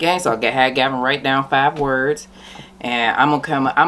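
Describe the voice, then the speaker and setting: With light background noise behind her, a woman speaks at a moderate pace in a very deep, low voice. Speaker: mukbang host. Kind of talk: casual vlog chat. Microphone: camera far.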